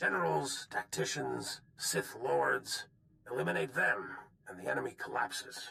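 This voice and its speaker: At a moderate pace, someone performs a put-on character voice with a raspy edge. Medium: video game. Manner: brisk, authoritative.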